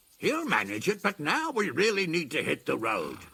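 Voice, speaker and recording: A man puts on a character voice with a high pitch and very wide pitch swings. He talks at a moderate pace. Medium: video game. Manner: blunt, gruff.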